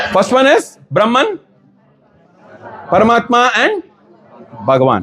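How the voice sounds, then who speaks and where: This man's voice sits extremely high. His pitch is far above the usual range. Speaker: ISKCON preacher. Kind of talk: lecture.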